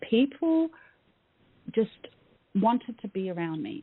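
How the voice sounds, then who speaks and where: A woman with an Australian accent talks at a fairly slow pace, her fairly high pitch moving in very wide pitch swings. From Australia, Melbourne. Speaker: mindset coach. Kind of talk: interview. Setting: radio show. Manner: hesitant with many fillers.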